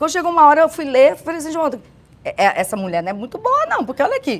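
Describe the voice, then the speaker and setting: A woman is speaking. Her pitch swings very widely. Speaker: church women's speaker. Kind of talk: casual chat.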